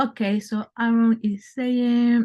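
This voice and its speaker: A woman's dark, mellow, somewhat breathy voice with a non-native accent, over a quiet background. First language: not English. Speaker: brand consultant. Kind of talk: webinar presentation. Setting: online webinar.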